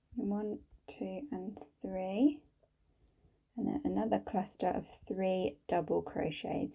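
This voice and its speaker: A woman talks very slowly, pausing often and at length. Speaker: crochet teacher. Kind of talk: tutorial.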